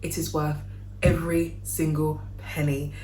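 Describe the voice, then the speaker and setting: With a London accent and a very deep, low pitch, a woman talks over noticeable background noise in audible room echo. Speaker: wedding cake maker and business vlogger. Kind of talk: casual tutorial vlog. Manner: chatty, informal.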